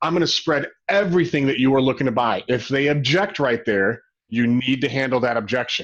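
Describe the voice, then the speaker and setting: A man talks with a General American accent. His pitch varies in an ordinary way. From Arizona (Phoenix). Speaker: real estate broker and company president. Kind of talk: webinar training presentation. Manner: fast; animated.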